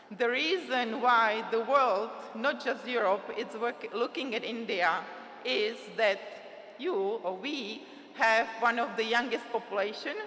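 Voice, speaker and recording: A woman with a non-native accent speaks fairly slowly at a fairly high pitch, with ordinary pitch variation. The recording has audible room echo and noticeable background noise. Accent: foreign. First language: Czech. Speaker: trade agency representative. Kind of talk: conference speech. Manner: halting.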